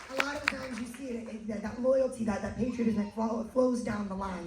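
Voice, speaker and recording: A woman with an American accent speaks at a medium pitch and fairly quick pace, animated, with ordinary pitch variation. Noticeable background noise and audible room echo fill the recording. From United States. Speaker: cruise event host. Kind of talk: live event hosting.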